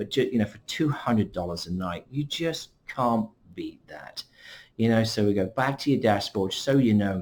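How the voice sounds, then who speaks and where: In an English accent, a man speaks at a moderate pace and a fairly low pitch, with ordinary pitch variation. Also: very clean recording, silent background. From England. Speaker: vacation club representative. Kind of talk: screen-share tutorial. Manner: casual, conversational.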